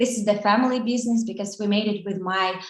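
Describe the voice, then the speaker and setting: Amid audible room echo, a woman speaks at a fairly high pitch with monotone, flat intonation. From Ukraine. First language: Russian and Ukrainian. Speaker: social media marketing agency co-owner. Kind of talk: online conference lecture. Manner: halting, many fillers.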